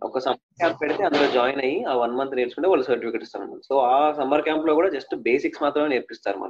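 A man speaks with a plain, everyday voice. His pitch is fairly high with ordinary pitch variation. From Telangana, Mancherial (Adilabad district). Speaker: playback singer. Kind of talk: interview.

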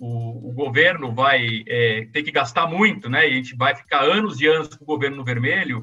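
Music plays behind a man speaking at a moderate pace with hardly any pauses. His loudness swings widely. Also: medium pitch for a man, lively intonation. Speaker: journalist and economist. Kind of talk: live-streamed discussion, economic analysis.

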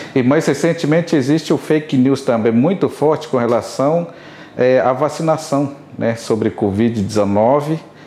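Noticeable background noise sits behind a man speaking at a fairly slow pace. His pitch is fairly high and his loudness very even. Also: ordinary pitch variation. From Rio Isana, Amazonas, Brazil. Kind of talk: interview.

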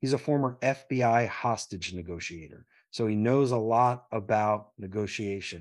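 With an American accent, a man speaks at a medium pitch with ordinary pitch variation in a plain, everyday voice. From Philadelphia. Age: middle-aged. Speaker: entrepreneur and military veteran. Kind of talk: casual interview.

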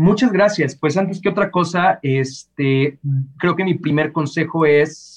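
A man with a Mexican accent talks at a very slow pace, his fairly high pitch showing ordinary variation. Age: 30s. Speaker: voice actor and singer. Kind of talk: interview.

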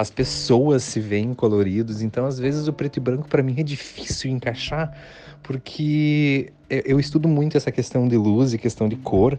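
A man talks at a moderate pace with fairly even intonation. His tone is dark and mellow. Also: medium pitch for a man. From Santa Catarina interior, Brazil. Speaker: wedding photographer. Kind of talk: interview. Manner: halting.

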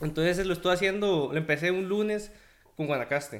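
This is a man's voice. He speaks with a Costa Rican accent. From Costa Rica, Guadalajara. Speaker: pixel artist. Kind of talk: casual chat.

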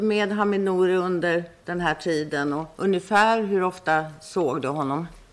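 A woman talks at a moderate pace with a Swedish accent. Room echo is audible. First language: Swedish (speaking Persian). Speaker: prosecutor. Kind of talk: courtroom examination. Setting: courtroom.

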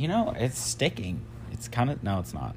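A man speaks over noticeable background noise. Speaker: podcast co-host.

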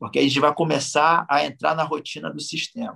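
A man speaks at a moderate pace in a fairly high pitch, using a normal speaking voice. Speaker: jiu-jitsu master. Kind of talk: casual interview.

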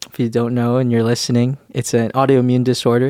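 A man with a Canadian accent and a medium pitch talks at a fairly quick pace in a plain, everyday voice. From Canadian Prairies (Winnipeg, Manitoba). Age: 20s. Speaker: church teacher and podcast co-host. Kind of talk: casual chat. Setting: studio, seated on a couch.

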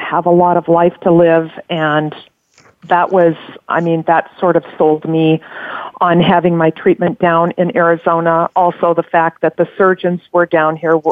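Speaking at a fairly slow pace, a woman with a fairly low pitch keeps a monotone, flat intonation. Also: very even loudness. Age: 60s. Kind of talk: interview testimony. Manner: halting.

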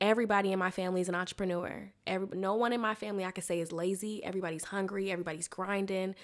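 Speaking at a very fast pace, a woman of medium pitch has a slight Southern US accent. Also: fairly even intonation. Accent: American, slight Southern twang.

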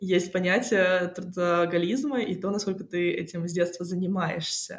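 Noticeable background noise sits under the speech. The woman's voice has a medium pitch. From Moscow, Russia. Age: 20s. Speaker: music industry PR specialist. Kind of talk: interview. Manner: casual; hesitant.

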